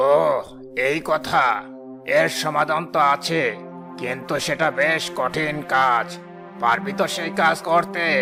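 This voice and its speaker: A man's cartoonish character voice, fairly high in pitch and fairly slow in pace, over clear music in the background. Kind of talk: rural folk-tale sage, familiar address. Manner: stern, commanding.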